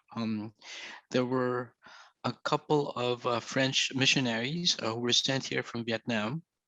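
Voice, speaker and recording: A man speaks at a fairly slow pace in a bright, sharp tone with fairly even intonation. The sound is dry and close with no echo, over a quiet background. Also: medium pitch for a man. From Philippines. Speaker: poet and anthology editor. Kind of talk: book launch talk. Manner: halting, many fillers.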